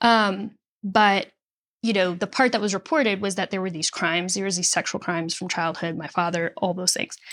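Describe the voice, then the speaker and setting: A woman with an American accent speaks at a fairly quick pace in an ordinary speaking voice, her medium pitch showing ordinary variation, on a very clean recording with a silent background. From Nashville area, Tennessee (born Chicago). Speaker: singer-songwriter and author. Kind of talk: interview conversation.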